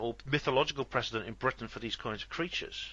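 A man with a Welsh accent talks at a very fast pace. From West Wales. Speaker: podcast host. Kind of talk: interview. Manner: hesitant.

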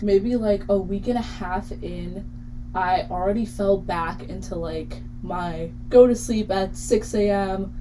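Someone with an American accent speaks at a very slow pace, loudness swinging widely, amid noticeable background noise and audible room echo. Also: woman. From Ridgewood, New Jersey. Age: young. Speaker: college radio host. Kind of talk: casual chat.

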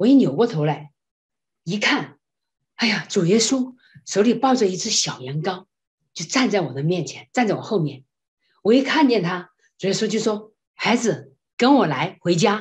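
A woman speaks at a moderate pace and medium pitch, somewhat breathy. Her pitch swings very widely, and she takes long, frequent pauses. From China. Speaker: classical singer and voice professor. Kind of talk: interview testimony. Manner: animated.

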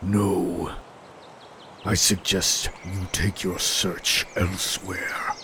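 A man uses a booming, put-on character voice at a very slow pace. Clear background noise is heard behind him. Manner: cold, menacing, curt.

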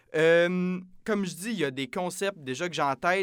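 This man speaks with a high pitch. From Quebec, Saint-Jean-sur-Richelieu near Montreal. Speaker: podcast host, student. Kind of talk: casual chat.

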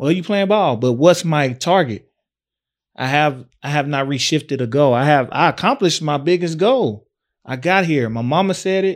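Recorded very cleanly against a silent background, a man with a fairly high pitch speaks at a moderate pace with lively intonation. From East Texas (Tyler). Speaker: podcast co-host. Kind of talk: casual chat.

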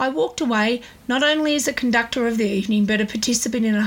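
Ordinary pitch variation marks a woman's fairly quick speech. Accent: Australian. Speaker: podcast host, small business owner. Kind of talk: scripted monologue. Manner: fluent, talkative.

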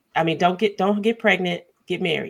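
Vocal fry runs through this woman's voice. She keeps a moderate pace. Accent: American. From Chicago, US. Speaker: infertility advocate and librarian. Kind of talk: podcast interview.

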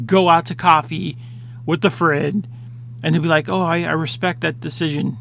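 A man talks fairly slowly at a fairly high pitch, with noticeable background noise behind him. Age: 30s. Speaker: podcast host. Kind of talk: solo monologue. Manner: casual, halting with many fillers.

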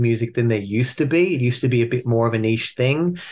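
Very fast speech comes with an Australian accent. The intonation is lively. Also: man. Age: 40s. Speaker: metal band frontman. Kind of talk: interview.

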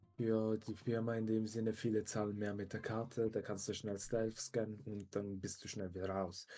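With hardly any pauses, a man speaks at a moderate pace in a fairly low pitch, his tone dark and mellow and his intonation monotone and flat. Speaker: podcast co-host, works in tech. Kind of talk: casual chat.

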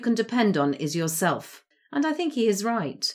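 Very wide pitch swings mark this English-accented voice, which moves at a moderate pace on a very clean recording with a silent background. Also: woman. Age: 60s. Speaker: podcast host. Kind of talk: solo monologue.

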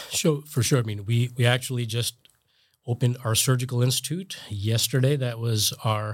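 Somewhat breathy, the voice holds a fairly even intonation. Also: man, very clean recording, silent background. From New Jersey. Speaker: hospital executive and physician. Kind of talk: interview.

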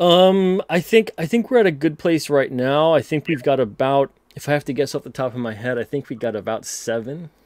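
Here a man talks at a fairly quick pace with hardly any pauses, in an unremarkable speaking voice with a fairly high pitch. His intonation is lively, and the sound is dry and close with no echo. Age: 30s. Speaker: comic book publisher and writer. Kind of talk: casual interview. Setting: live stream.

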